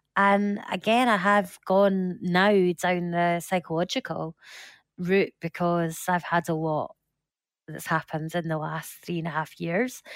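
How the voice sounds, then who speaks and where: Speaking fairly slowly with a Scottish accent, a woman holds a fairly low pitch and fairly even intonation in a very clean recording with a silent background and a dry, close sound with no echo. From Scotland. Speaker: support group founder living with metastatic breast cancer. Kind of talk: interview, personal testimony.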